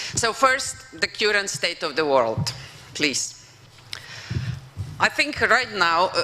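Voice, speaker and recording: Amid noticeable background noise, a woman speaks at a very slow pace with very wide pitch swings and long, frequent pauses. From Slovenia (former Yugoslavia). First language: Slovenian. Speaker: professor and former European commissioner. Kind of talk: conference keynote speech. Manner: hesitant, with fillers.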